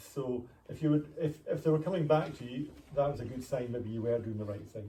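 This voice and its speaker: A very fast, somewhat breathy man with a Scottish accent and a dark, mellow tone. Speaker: retired pharmacist. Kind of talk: interview.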